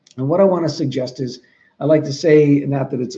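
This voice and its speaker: A fairly high, somewhat breathy male voice, dark and mellow in tone, with an American accent. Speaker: trainer for 911 dispatchers. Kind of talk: training talk. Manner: fast.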